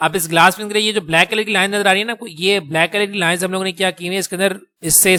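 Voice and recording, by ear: The man talks fast, in a bright, sharp tone.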